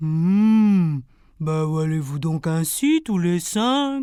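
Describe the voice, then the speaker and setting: At a very slow pace, a put-on character voice at middle pitch is heard on a very clean recording with a silent background. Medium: read story. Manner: slow, humming.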